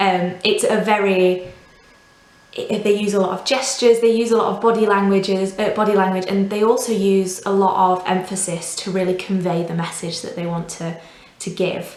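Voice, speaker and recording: A woman with a Yorkshire accent talks at a moderate pace in a medium pitch with fairly even intonation. There is audible room echo and noticeable background noise. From northern England, Doncaster. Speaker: volunteer language teacher. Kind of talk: tutorial.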